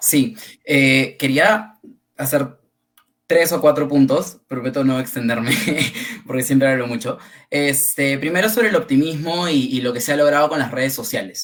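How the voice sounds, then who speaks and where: Long, frequent pauses break up speech delivered at a moderate pace with lively intonation. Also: man, fairly high pitch for a man. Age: 20s. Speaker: panelist. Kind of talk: panel discussion. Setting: livestream.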